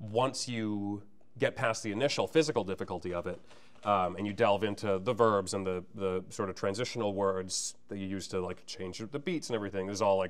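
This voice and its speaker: Speaking at a fairly quick pace with an American accent, a man uses a fairly low pitch and ordinary pitch variation. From Massachusetts, US. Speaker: stage actor and singer. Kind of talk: interview. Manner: fast.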